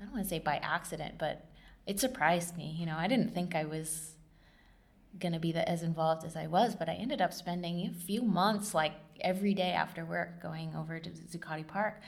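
Somewhat breathy, the voice carries an American accent. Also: woman, fairly low pitch for a woman, ordinary pitch variation, fairly quick pace. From southern and central California. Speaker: oral history interviewee, nonprofit worker. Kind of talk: oral history interview. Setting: recording in a library lab. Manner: hesitant, many filler words.

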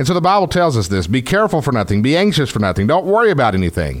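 A man talks in a Texas accent at a very fast pace. His pitch swings very widely. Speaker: pastor. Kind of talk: sermon, Bible teaching on radio. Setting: radio broadcast.

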